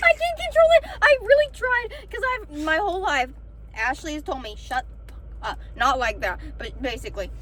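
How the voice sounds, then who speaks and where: A woman speaks at a moderate pace with big swings in loudness. Noticeable background noise is present. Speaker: podcast co-host. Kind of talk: casual chat. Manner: gets louder as she talks.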